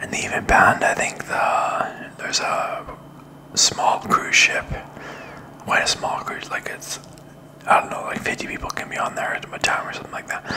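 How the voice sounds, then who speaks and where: A man whispers with long, frequent pauses, keeping a moderate pace. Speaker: vlogger. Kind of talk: casual vlog chat. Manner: soft, close-mic ASMR murmur. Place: home room. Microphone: studio mic.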